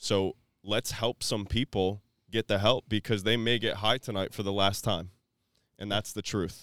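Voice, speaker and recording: A man with an American accent has a plain, everyday voice at a fairly low pitch, moving at a moderate pace with fairly even intonation. The recording is very clean with a silent background and a dry, close sound with no echo. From Florida, Tampa Bay area. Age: 30s. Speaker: recovery speaker. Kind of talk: personal testimony.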